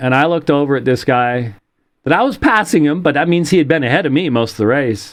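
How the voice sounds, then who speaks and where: A man's plain, everyday voice, fairly high in pitch, with ordinary pitch variation over a quiet background. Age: 60s. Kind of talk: casual chat. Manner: casual with many fillers.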